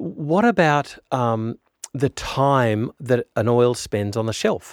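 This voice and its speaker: A man of medium pitch talks in an Australian accent at a very slow pace. The sound is dry and close, with no echo. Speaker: podcast host interviewer. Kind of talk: interview.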